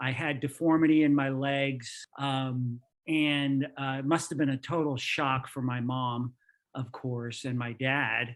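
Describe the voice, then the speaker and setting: Speaking with an American accent, a man uses an unremarkable speaking voice at a fairly high pitch and a fairly slow pace. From New York, then Florida from age 14. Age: 60s. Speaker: engineer. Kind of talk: podcast interview.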